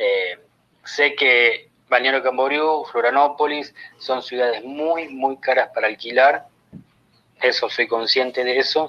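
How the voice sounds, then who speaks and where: A man speaks very slowly at a medium pitch. His intonation is fairly even and his loudness very even. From Argentina. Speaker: caller seeking advice. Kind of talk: recorded question message.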